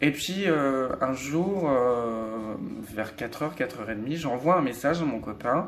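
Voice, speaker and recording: A man speaks at a moderate pace with ordinary pitch variation. Music plays in the background, and there is audible room echo. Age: 20s. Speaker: vlogger. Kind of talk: personal testimony vlog. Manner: hesitant, many fillers.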